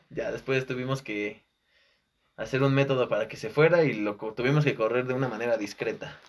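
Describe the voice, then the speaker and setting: The speaker talks at a fairly quick pace in a Mexican accent, with ordinary pitch variation. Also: man, medium pitch for a man. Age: 20s. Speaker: communication student. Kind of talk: casual chat.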